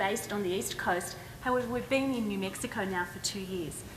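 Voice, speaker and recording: Lively intonation in an Australian accent at a fairly quick pace, with audible room echo and noticeable background noise. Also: woman. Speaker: education nonprofit leader. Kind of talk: conference panel talk. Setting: stage with audience.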